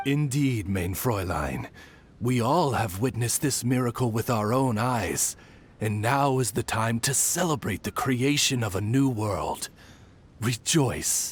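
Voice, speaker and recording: Using a cartoonish character voice, a man speaks at medium pitch and a fairly slow pace. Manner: formal, solemn.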